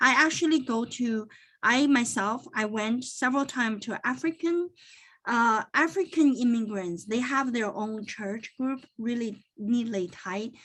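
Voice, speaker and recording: In a Chinese accent, a woman speaks at a fairly high pitch with ordinary pitch variation. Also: fairly slow pace, quiet background. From born in China, grew up partly in Toronto. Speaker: accountant and business owner. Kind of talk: interview.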